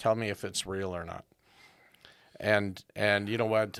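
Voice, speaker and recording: In a very clean recording with a silent background, a man speaks in a fairly low pitch. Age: 60s. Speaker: podcast host. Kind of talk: podcast interview conversation.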